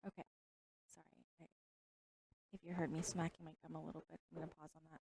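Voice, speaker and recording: A woman with a very deep, low voice, vocal fry and a dark, mellow tone speaks very fast in a flat monotone, in a dry, close recording with no echo. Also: big swings in loudness. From Texas. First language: Vietnamese or Chinese. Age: 50s. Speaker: pool stream commentator. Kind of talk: live commentary.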